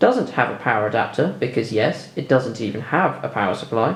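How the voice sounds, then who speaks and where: Talking at a very fast pace in a British accent, the voice makes very wide pitch swings. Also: man. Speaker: tech YouTuber. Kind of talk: video voiceover tutorial. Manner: dry, sarcastic.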